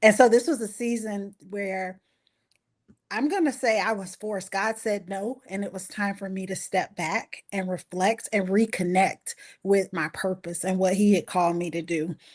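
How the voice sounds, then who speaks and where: Speaking in a Southern US accent, a woman keeps a medium pitch, ordinary pitch variation and a moderate pace. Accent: Southern US (Georgia). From US South, Valdosta, Georgia. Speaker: anthology co-author, marriage ministry leader. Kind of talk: interview on a live-streamed book launch. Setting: live stream.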